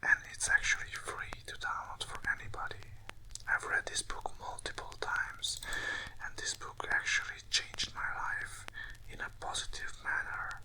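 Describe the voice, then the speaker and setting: The speaker whispers at a moderate pace. Noticeable background noise is present. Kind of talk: casual talk to camera. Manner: whispered.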